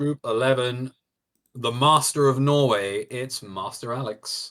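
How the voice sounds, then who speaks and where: A man with a British accent speaks at a medium pitch and a fairly slow pace, his intonation fairly even. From Britain. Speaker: esports commentator. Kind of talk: live commentary.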